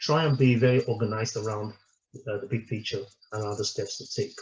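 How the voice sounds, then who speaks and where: Somewhat breathy, a man speaks at a very fast pace. His pitch is medium and his intonation fairly even. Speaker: company director presenting a webinar. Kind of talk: webinar presentation. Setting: online webinar. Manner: halting, many repetitions and fillers.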